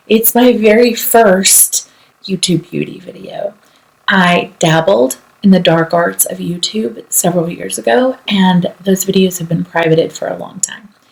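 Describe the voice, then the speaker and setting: A woman speaks at a fairly slow pace, her intonation lively and her loudness swinging widely. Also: medium pitch for a woman. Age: 40s. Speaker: lawyer and beauty enthusiast. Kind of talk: casual talk to camera.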